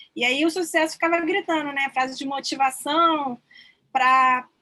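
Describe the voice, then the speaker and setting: Her voice is raised and projected. This woman's tone comes out bright and sharp. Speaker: student presenter. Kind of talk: class presentation.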